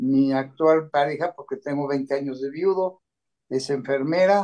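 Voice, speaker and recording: A man talks with a fairly high pitch and a dark, mellow tone. His intonation stays fairly even. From Mexico City. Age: 60s. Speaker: patient giving testimony. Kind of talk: self-introduction in panel talk.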